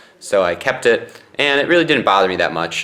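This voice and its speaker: Noticeable background noise sits behind the voice. A man speaks at a fairly quick pace. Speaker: vlogger. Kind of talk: casual vlog. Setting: in a mosquito tent on bed. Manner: loud.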